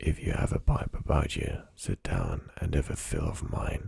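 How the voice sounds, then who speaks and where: A soft-spoken man at a fairly slow pace, with noticeable background noise. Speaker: ASMR creator. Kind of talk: book reading.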